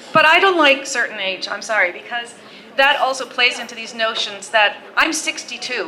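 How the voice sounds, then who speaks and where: A woman speaks at a moderate pace in a high pitch, her intonation lively and her loudness swinging widely, with noticeable background noise. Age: 60s. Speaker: author. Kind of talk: panel discussion. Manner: animated.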